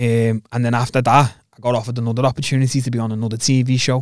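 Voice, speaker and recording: A man talks at a fairly quick pace in a medium pitch, monotone and flat. The sound is dry with no echo, and the background is quiet. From England. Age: 20s. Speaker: MMA fighter; podcast guest. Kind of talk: casual chat. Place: studio. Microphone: studio mic.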